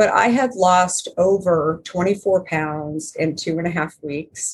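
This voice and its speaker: A woman speaks very slowly in a fairly low, somewhat breathy voice. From Arizona. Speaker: company founder and author. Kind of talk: interview.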